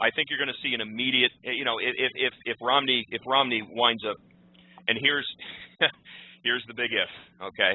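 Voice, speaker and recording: A man talks at a very fast pace. His pitch sits at a medium level. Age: 30s. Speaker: political commentator. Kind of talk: radio interview. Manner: halting, many repetitions.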